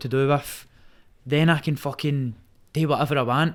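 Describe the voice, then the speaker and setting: In a Glaswegian accent, a man speaks at a moderate pace. His pitch is fairly high, and the recording is very clean with a silent background. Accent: Glaswegian Scottish. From Scotland. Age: 20s. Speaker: Muay Thai fighter. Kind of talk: casual chat. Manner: animated.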